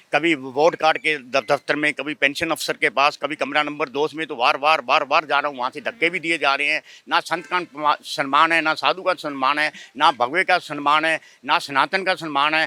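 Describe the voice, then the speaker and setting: A man with a fairly high pitch speaks at a moderate pace with hardly any pauses. His tone is bright and sharp, his intonation monotone and flat, and the sound is dry and close with no echo. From northern India, Haryana/Shimla area. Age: 70s. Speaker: sadhu (holy man). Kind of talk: street interview complaint. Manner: agitated.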